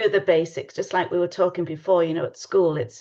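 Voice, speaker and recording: A woman speaks with an English accent and a fairly low pitch. The background is quiet. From England. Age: 60s. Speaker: tarot reader. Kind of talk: casual chat.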